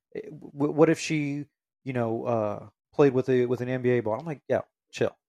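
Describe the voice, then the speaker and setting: A man speaks at a moderate pace with a medium pitch and fairly even intonation. He has an ordinary speaking voice. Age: 30s. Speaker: sports podcast host. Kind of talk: casual chat.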